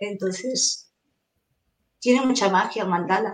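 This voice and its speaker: A woman with an ordinary speaking voice and medium pitch talks at a fairly slow pace with fairly even intonation. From Venezuela. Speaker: mandala artist. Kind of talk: interview.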